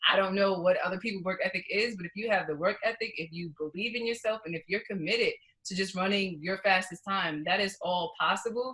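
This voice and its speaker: Hardly pausing, a woman with an American accent speaks at a fairly quick pace, her medium pitch following fairly even intonation. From New York. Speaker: professional runner. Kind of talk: interview. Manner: fast.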